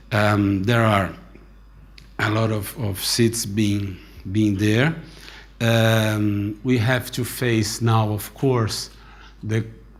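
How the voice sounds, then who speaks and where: A man talks at a very slow pace with fairly even intonation and long, frequent pauses. Audible room echo surrounds the voice. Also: fairly low pitch for a man. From Brazil. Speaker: aviation industry association president. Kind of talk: conference speech.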